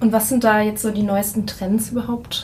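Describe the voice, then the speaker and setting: Against noticeable background noise and audible room echo, a woman talks at a moderate pace with a fairly high pitch. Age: 20s. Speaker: podcast host. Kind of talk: interview. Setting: conference room.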